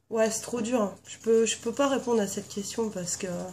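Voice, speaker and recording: This woman has a fairly high pitch, a dark, mellow tone, a somewhat breathy quality and fairly even intonation, and she keeps a moderate pace. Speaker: beauty vlogger. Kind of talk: casual video tag chat. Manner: hesitant with many fillers.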